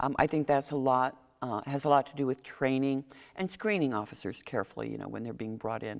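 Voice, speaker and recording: Her very deep, low pitch carries vocal fry as this woman speaks at a fairly quick pace with ordinary pitch variation and big swings in loudness, on a very clean recording with a silent background. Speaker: mayoral candidate. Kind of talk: candidate forum interview. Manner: fast.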